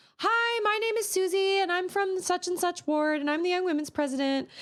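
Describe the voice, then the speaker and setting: A woman puts on a squeaky character voice at an extremely high pitch. She moves at a fairly quick pace with very even loudness. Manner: scripted, stilted cold-call phrasing.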